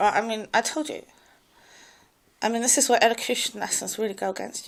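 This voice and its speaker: A woman talks at a very fast pace. Her pitch is fairly high. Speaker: vlogger. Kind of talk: personal monologue. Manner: halting.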